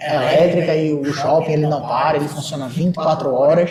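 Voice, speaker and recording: A moderate pace is heard over noticeable background noise, with audible echo from the room. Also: man. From Brazil, Recife (Pernambuco). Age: 20s. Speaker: shopping mall manager. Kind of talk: podcast interview. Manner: hesitant, many fillers and repetitions.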